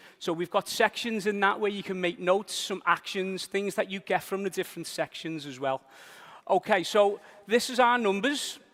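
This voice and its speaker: In a very clean recording with a silent background and a dry, close sound with no echo, a man with a Liverpool accent speaks at a high pitch and a moderate pace with ordinary pitch variation. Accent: Liverpool (Scouse). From northern England, Liverpool. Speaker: business trainer. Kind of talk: seminar presentation. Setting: stage with audience.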